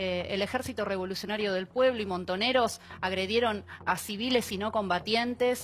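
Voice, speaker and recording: With hardly any pauses, a woman uses a normal speaking voice and fairly even intonation. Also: medium pitch for a woman, moderate pace. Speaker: victims' rights activist. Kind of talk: TV panel debate.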